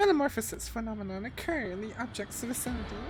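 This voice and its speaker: A woman puts on a squeaky character voice with a fairly high pitch at a fairly quick pace. Loud background noise runs underneath. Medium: game stream. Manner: precise, technical.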